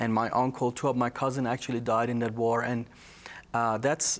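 With a Persian accent, a man speaks in monotone, flat intonation. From Iran, Tehran. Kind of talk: testimony.

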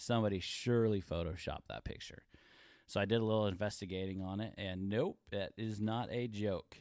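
Using an unremarkable speaking voice, a man talks at a fairly quick pace with a fairly low pitch and fairly even intonation. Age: 40s. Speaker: podcast co-host. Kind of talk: casual chat.

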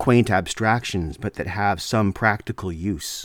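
In a very clean recording with a silent background, a man with a Canadian accent speaks at a fairly slow pace and a fairly low pitch. His is a normal speaking voice with ordinary pitch variation. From Canada. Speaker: podcast host. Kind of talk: solo monologue lecture.

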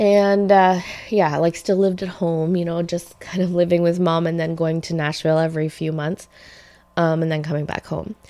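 Her tone dark and mellow, a woman speaks in a fairly low voice with monotone, flat intonation. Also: moderate pace. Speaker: podcast host and singer. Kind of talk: casual chat. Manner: chatty, laughs often.

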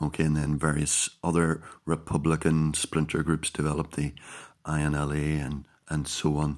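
Speaking at a moderate pace with a Northern Irish accent, the voice stays monotone and flat, captured on a very clean recording with a silent background. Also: man, very deep, low pitch for a man. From Northern Ireland, County Down. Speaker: podcast host. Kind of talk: solo monologue podcast. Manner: halting.

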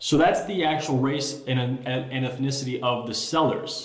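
Over noticeable background noise and audible room echo, a man of medium pitch speaks with an American accent. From Chicago, South Side. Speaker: realtor. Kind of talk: casual interview chat.

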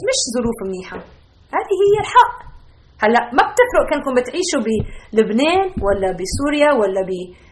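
The voice has a warm tone and very wide pitch swings. Noticeable background noise runs underneath. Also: woman. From Lebanon. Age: 40s. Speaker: Bible teacher and pediatric doctor. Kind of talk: Bible teaching podcast. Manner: warm, conversational with some stammering.

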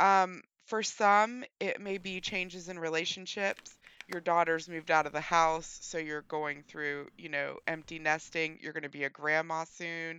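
A woman with an American accent and an unremarkable speaking voice, fairly low pitch, fairly slow pace and fairly even intonation. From West Virginia. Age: 40s. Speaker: podcast co-host. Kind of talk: casual chat.

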